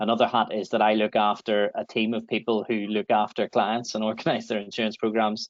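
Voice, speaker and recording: A man's fairly low voice with a Northern Irish accent, at a fairly quick pace. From Northern Ireland. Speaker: insurance broker. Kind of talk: webinar presentation.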